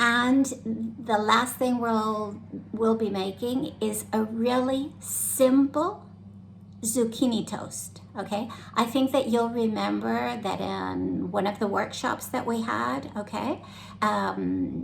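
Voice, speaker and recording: In an American accent, the speaker goes at a very slow pace, with audible room echo around the voice. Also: woman. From United States. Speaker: club activities organizer. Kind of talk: cooking tutorial. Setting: home kitchen. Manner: casual, many fillers.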